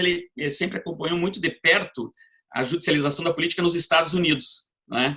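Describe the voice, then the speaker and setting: This man's voice has a bright, sharp tone and ordinary pitch variation. He talks at a fairly quick pace. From southern Brazil, Paraná. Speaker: law professor. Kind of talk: lecture. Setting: video call.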